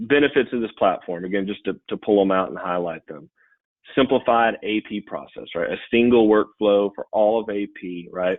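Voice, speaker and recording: Fairly even intonation in a man's fairly low-pitched voice. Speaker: payments company sales presenter. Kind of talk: webinar product demo. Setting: online webinar. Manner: fast.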